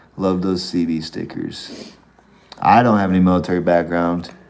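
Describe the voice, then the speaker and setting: Speech at a moderate pace carries audible room echo and noticeable background noise. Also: man. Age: 40s. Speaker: long-distance hiker livestreaming. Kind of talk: casual live-stream chat.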